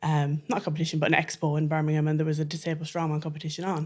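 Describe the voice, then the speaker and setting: A woman with an Irish accent and a very deep, low pitch, on a very clean recording with a silent background. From Ireland. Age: 30s. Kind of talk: interview conversation.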